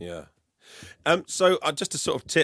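A man talks with an English accent. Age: 40s. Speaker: EV podcaster. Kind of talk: casual chat. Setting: video call.

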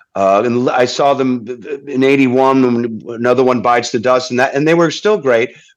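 At a moderate pace, a man speaks at medium pitch with ordinary pitch variation and very even loudness. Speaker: singer-songwriter and guitarist. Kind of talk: casual chat. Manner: halting.

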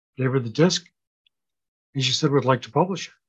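Somewhat breathy talk at a very fast clip, with normal rise and fall in pitch. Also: man. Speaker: author and grief speaker. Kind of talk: interview chat.

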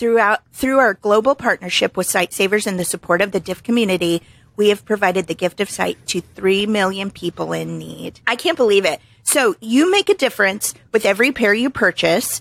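A woman talks at a fairly quick pace in an animated tone, with vocal fry and ordinary pitch variation. The sound is dry and close, with no echo. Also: medium pitch for a woman. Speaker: podcast co-host. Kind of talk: casual chat.

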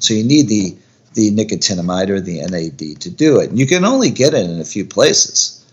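Lively intonation runs through an ordinary speaking voice that keeps a moderate pace. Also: man. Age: 50s. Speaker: orthopedic surgeon. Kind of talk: interview.

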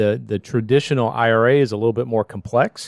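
Dry and close with no echo, the recording captures a man with an unremarkable speaking voice. He talks at a moderate pace and a fairly low pitch. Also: very clean recording, silent background. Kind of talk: casual chat.

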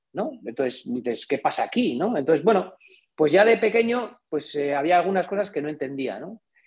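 At a moderate pace, a man speaks in a high voice whose pitch swings very widely. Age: 40s. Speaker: engineer and entrepreneur. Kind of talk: interview.

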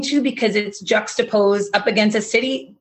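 A somewhat breathy woman with an American accent, medium in pitch with ordinary pitch variation. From Massachusetts, between Boston and Providence. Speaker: beginning farmer, farm training student. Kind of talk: interview conversation.

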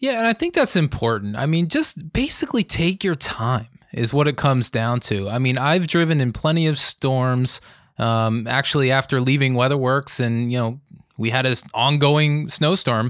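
On a very clean recording with a silent background, a man of medium pitch speaks at a moderate pace with very even loudness and ordinary pitch variation. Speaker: meteorologist podcast co-host. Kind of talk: casual chat. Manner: jovial.

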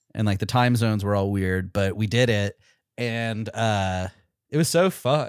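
A man speaks in a plain, everyday voice at a fairly low pitch, with ordinary pitch variation and a fairly slow pace. The recording is very clean, with a silent background. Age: 30s. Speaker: comedy podcast host. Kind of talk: improv comedy chat.

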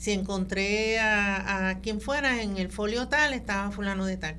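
An ordinary speaking voice from a woman at a medium pitch, with fairly even intonation and a fairly slow pace. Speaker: genealogist. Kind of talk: radio interview.

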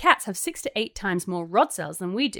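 On a very clean recording with a silent background and a dry, close sound with no echo, a woman with an English accent speaks at a fairly quick pace, at a medium pitch, with lively intonation. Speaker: podcast host. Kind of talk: casual chat, podcast banter. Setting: home during quarantine.

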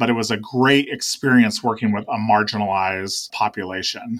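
With an American accent and a normal speaking voice, a man speaks at a medium pitch and moderate pace. His intonation is fairly even, and the recording is very clean with a silent background. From Oregon, US Pacific Northwest. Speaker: executive director of a nonprofit, military veteran. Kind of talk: interview.

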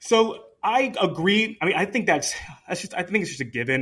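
A man has a bright, sharp tone. He talks at a fairly quick pace. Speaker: podcast host. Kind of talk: casual chat.

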